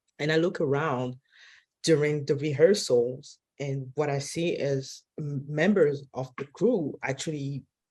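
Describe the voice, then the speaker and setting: Delivered at a fairly slow pace, this voice carries a non-native accent and ordinary pitch variation. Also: woman. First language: not English. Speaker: film director. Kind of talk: panel discussion. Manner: halting.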